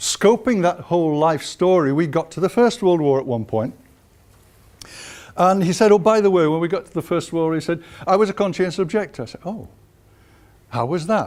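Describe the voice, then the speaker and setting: With a Yorkshire accent, a man speaks at a high pitch and a fairly quick pace, his intonation lively, his loudness swinging widely, and his speech broken by long, frequent pauses. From northern England, Huddersfield (West Yorkshire). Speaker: historian. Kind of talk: lecture.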